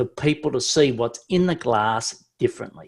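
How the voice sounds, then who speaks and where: Captured in a very clean recording with a silent background, a man talks with an Australian accent. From Australia, Victoria bush. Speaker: business mentor. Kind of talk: podcast interview. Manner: talkative, many fillers.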